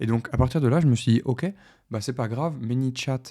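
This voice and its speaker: A man's dark, mellow voice with fairly even intonation, in a very clean recording with a silent background. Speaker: tech tutorial youtuber. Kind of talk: screen-share tutorial. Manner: hesitant, many fillers.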